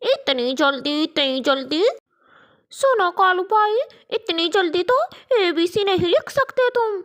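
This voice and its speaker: A woman does a cartoonish character voice in an extremely high pitch. She speaks at a very slow pace. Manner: scolding.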